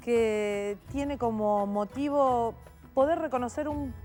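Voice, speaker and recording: Music runs in the background while a woman talks. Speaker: TV program host. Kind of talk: TV program introduction.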